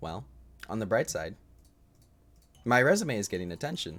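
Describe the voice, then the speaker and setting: Over music in the background, the speaker is soft-spoken and talks at a fairly quick pace. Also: man. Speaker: video game streamer. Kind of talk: live gameplay streaming. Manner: quiet, soft-spoken; halting.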